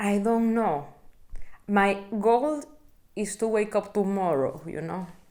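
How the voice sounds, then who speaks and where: With a Spanish accent, a woman speaks at a very slow pace, using lively intonation and long, frequent pauses. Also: medium pitch for a woman. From Venezuela. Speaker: interviewee, researcher in literature and music. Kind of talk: casual interview.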